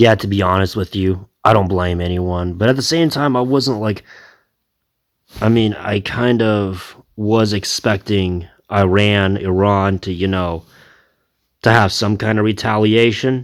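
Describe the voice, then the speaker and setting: A man with a normal speaking voice and a fairly low pitch talks at a fairly slow pace with fairly even intonation, in a very clean recording with a silent background. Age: 30s. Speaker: reaction video creator. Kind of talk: casual commentary.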